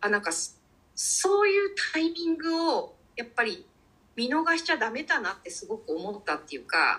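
A woman projects a raised voice at an extremely high pitch, bright and sharp in tone, with very wide pitch swings at a moderate pace. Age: 50s. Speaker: cook. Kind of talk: casual interview conversation.

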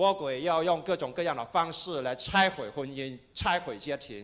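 The recording is very clean with a silent background as a man speaks fairly slowly with lively intonation. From Kaiping, Guangdong, China. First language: Cantonese (Taishanese/Kaiping) (speaking Chinese). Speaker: pastor. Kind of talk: sermon.

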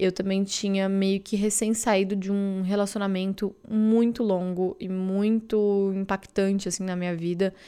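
A woman's medium-pitched voice with a dark, mellow tone and flat, monotone delivery at a fairly slow pace, on a very clean recording with a silent background. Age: 20s. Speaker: content creator and podcaster. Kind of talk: casual solo monologue.

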